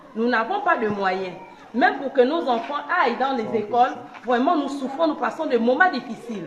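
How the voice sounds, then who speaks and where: A woman speaks in a high voice with lively intonation, her words echoing in the room while a crowd murmurs in the background. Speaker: squatter resident. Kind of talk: street interview.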